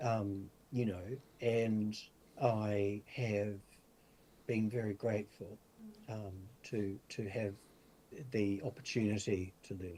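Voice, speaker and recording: Very slow and marked by long, frequent pauses, a man's dark, mellow voice stays fairly low in pitch with fairly even intonation. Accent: New Zealand. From New Zealand, far north. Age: 60s. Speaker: spiritual teacher and medium. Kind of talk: interview. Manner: halting, many fillers.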